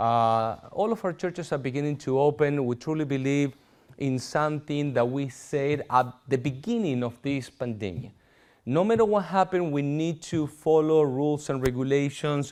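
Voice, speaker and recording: A man with a Spanish accent talks at a moderate pace. His pitch is fairly high, with ordinary pitch variation. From Argentina. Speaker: pastor. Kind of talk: sermon.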